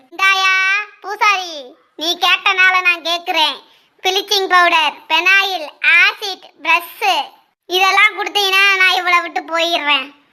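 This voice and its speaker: A woman does a cartoonish character voice at an extremely high pitch and a very slow pace. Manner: rough, aggressive, addresses the priest with contempt.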